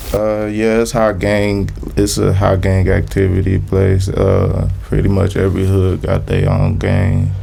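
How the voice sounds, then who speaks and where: Over noticeable background noise and audible room echo, a man with an American accent talks in a very deep, low voice at a fairly slow pace. His intonation is monotone and flat, his loudness very even, and he hardly pauses at all. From Little Rock, Arkansas. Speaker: rapper. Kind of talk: casual interview.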